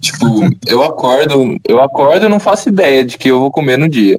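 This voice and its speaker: With a plain, everyday voice, a man talks at a fairly slow pace and a fairly high pitch, his pitch varying in an ordinary way, in a dry, close sound with no echo. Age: 20s. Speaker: engineering student. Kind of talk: casual chat.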